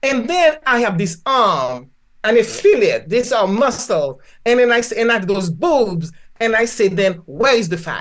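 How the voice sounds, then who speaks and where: A woman with a Haitian accent speaks at a fairly high pitch and a moderate pace. Her tone is animated, with very wide pitch swings. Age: 70s. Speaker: physician and spiritual healer. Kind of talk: podcast interview.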